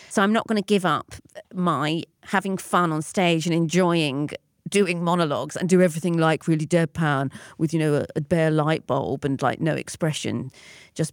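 A woman with a very deep, low pitch speaks at a moderate pace with fairly even intonation. The sound is dry and close with no echo, on a very clean recording with a silent background. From North London. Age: 40s. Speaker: performance artist and lecturer. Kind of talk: interview conversation. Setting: pop-up studio.

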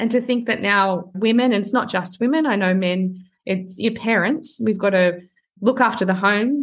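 With an Australian accent, a woman talks using ordinary pitch variation. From Australia, small town outside Sydney. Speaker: personal branding coach. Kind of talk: interview.

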